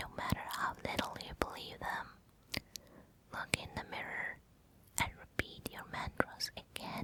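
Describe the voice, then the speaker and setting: A woman whispering in a soothing tone, fairly slow, with long, frequent pauses, big swings in loudness and noticeable background noise. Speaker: ASMR relaxation guide. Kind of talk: relaxation guide, whispered ASMR. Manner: whispered, soothing.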